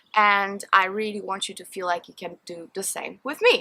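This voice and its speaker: A woman with a Polish accent speaks at a moderate pace and a medium pitch. Her tone is bright and sharp. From Poland. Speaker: beauty and perfume vlogger. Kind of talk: Q&A vlog, casual chat. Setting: outdoors in a garden.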